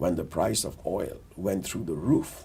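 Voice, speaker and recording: A somewhat breathy man with a very deep, low pitch at a moderate pace. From India (Delhi). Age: 60s. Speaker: business executive, board member. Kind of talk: interview, career story. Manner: measured, with many fillers.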